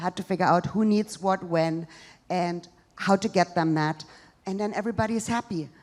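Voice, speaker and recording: A fairly quick pace in a German accent, fairly even intonation, on a very clean recording with a silent background. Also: woman, medium pitch for a woman. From East Germany. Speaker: social entrepreneur, stand-up comedian. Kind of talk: live stand-up comedy set.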